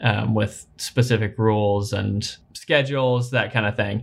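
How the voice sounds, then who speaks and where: With fairly even intonation, an unremarkable speaking voice delivers words at a moderate speed. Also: man, very clean recording, silent background. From Kentucky, US. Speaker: podcast co-host, parent. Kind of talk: casual chat.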